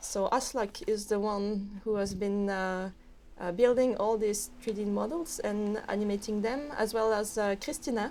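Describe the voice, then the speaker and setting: A woman with a French accent speaks at a moderate pace in a fairly high voice with a dark, mellow tone and ordinary pitch variation. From French overseas territory near Canada. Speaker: game developer. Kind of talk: casual chat. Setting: studio. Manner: halting, many fillers.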